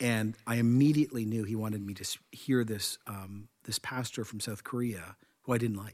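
This man speaks with a Canadian accent and fairly even intonation. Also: medium pitch for a man. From Canada. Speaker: senior pastor and podcast host. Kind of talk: casual chat. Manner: fast.

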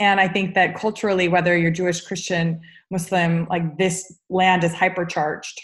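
Someone speaks with an American accent in a monotone, flat intonation at a moderate pace. The voice is somewhat breathy, and its loudness stays very even. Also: woman, fairly low pitch for a woman. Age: 30s. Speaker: yoga teacher and therapist. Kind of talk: interview.

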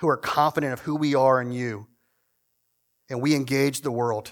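At a fairly quick pace, a man talks in a monotone, flat intonation at medium pitch, on a very clean recording with a silent background. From Virginia, Shenandoah Valley. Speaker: guest preacher, church historian. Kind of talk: prayer; sermon. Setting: church service with congregation.

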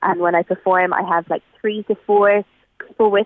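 A woman speaks with a western Irish accent. Her intonation is monotone and flat. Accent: Irish (west of Ireland). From Ireland, rural Galway. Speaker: singer-songwriter. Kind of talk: radio interview.

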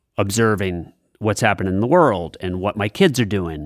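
A man talks in a fairly low voice. His pitch varies in an ordinary way. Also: very clean recording, silent background. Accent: New England. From New Hampshire / southern Maine seacoast. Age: 50s. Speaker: comedian. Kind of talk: interview.

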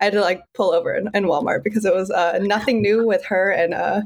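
A normal speaking voice from a woman, fairly high in pitch and fairly quick, on a very clean recording with a silent background. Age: 20s. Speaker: coworker of the host, Taylor Swift fan. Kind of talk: casual chat.

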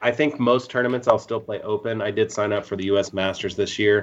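A plain, everyday voice, this man speaks with an American accent at a medium pitch and fairly even intonation. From Ohio. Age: 40s. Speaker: disc golf tournament organizer. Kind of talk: casual chat.

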